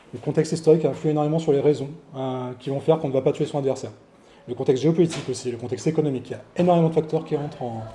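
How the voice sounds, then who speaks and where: A man's fairly high, somewhat breathy voice with a dark, mellow tone, fairly even intonation and a very fast pace. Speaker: historical fencing instructor. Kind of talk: lecture. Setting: venue with live audience. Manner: mumbling.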